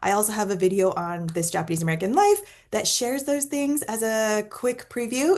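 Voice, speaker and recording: It's a normal speaking voice from a woman, with a fairly high pitch. She moves at a moderate pace with lively intonation. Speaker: wellness summit host. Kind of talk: casual interview chat.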